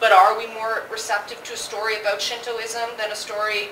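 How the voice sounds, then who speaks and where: A woman with a Toronto accent speaks at a fairly high pitch. Noticeable background noise and audible room echo fill the recording. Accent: Canadian English, Toronto. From Toronto, Canada (Jane and Finch). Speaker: anthology editor, panelist. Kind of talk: panel discussion. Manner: loud.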